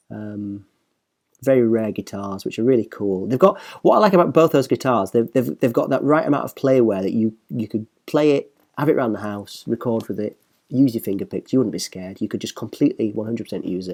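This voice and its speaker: Speaking with a Northern English accent, a man of medium pitch moves at a fairly quick pace with ordinary pitch variation. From northern England. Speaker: professional musician and guitar reviewer. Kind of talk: casual online video commentary. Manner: fast; animated.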